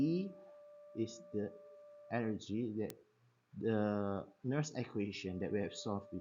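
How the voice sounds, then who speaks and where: At a fairly slow pace, a man with a non-native accent talks at a medium pitch with lively intonation. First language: not English. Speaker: science teacher. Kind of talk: tutorial. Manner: halting.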